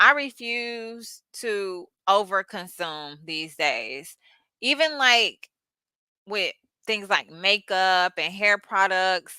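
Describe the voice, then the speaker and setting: In an American accent, a woman speaks at a very slow pace with a medium pitch, lively intonation and a bright, sharp tone. The sound is dry and close with no echo, on a very clean recording with a silent background. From United States. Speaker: YouTuber. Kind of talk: casual livestream monologue. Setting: early-morning livestream. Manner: halting, repetitive.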